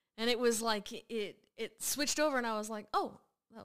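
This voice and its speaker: At a moderate pace, a woman with a high pitch and a bright, sharp tone speaks with lively intonation. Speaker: guest, host's daughter. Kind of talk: casual chat, music reaction.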